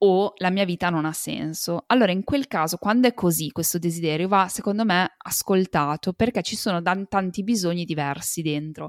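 Over a silent background in a very clean recording, a woman with a medium pitch and ordinary pitch variation speaks in an unremarkable speaking voice. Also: dry, close sound with no echo. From Italy. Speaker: entrepreneur and mother. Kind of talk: interview testimony.

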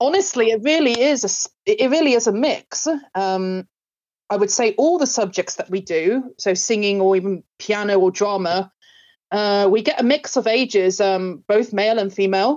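The speaker has an English accent and a moderate pace. Loudness stays very even throughout. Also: woman, medium pitch for a woman, ordinary pitch variation. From England. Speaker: music and drama school owner. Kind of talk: interview.

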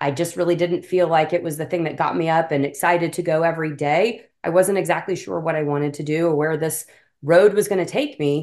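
A woman speaks in a normal speaking voice at a fairly low pitch with fairly even intonation. The background is quiet. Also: fairly quick pace. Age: 40s. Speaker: health coach and business mentor. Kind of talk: interview.

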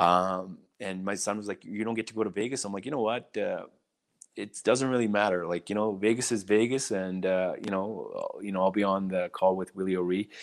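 A man with a Canadian accent and a plain, everyday voice, fairly low pitch, fairly even intonation and fairly quick pace, in a very clean recording with a silent background. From British Columbia, Canada (small mining town). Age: 40s. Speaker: hockey diversity mentor. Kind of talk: interview.

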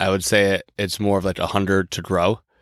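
A man speaks at a moderate pace in an unremarkable speaking voice with a fairly low pitch. The recording is very clean, with a silent background and a dry, close sound with no echo. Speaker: podcast co-host. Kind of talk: casual chat.

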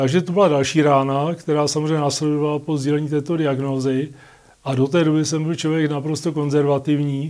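Flat, monotone intonation marks this man's speech. His pitch is fairly high and his tone dark and mellow. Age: 50s. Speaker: patient with multiple sclerosis. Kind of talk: interview. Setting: studio. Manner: halting, many fillers.

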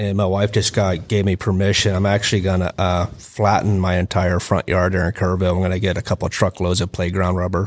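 A man with a very deep, low voice and an American accent, speaking at a fairly quick pace in a flat monotone, on a very clean recording with a silent background. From Texas. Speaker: combatives instructor, retired police officer and Marine. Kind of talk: casual chat. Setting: studio.

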